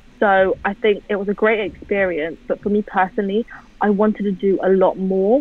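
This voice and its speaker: A woman with a London accent speaks in a dry sound with no echo. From England. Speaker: music photographer; guest. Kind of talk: casual interview. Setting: video call. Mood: relaxed, conversational.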